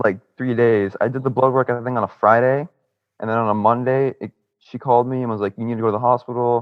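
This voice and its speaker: A man at a very fast pace with an American accent and monotone, flat intonation. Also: medium pitch for a man. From Miami, Florida. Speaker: cancer survivor. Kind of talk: testimony.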